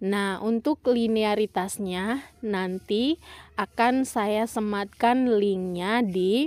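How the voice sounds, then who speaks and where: A woman speaks very slowly at a fairly high pitch with ordinary pitch variation. The sound is dry and close with no echo. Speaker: education YouTuber. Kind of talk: tutorial. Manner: quiet.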